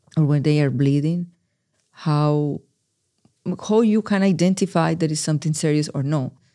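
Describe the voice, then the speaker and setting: With a Spanish accent, the speaker keeps a moderate pace broken by long, frequent pauses, on a very clean recording with a silent background. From Colombia, Medellin. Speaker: research coordinator and patient navigator. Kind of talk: interview.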